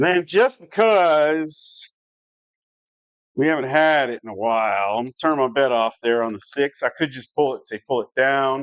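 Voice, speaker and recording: Speaking with an American accent, this man has a fairly high pitch and lively intonation. The sound is dry and close with no echo, over a quiet background. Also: moderate pace. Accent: Southern US, stronger than usual right now. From US South. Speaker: live-stream craps game host. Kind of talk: live game-play commentary. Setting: home live stream. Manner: casual, conversational.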